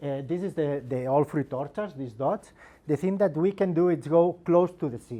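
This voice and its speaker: At a moderate pace, a man with a fairly high pitch and a dark, mellow tone varies his pitch in an ordinary way. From Spain, Girona (Catalonia). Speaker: agricultural researcher. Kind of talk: presentation. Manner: halting, many repetitions.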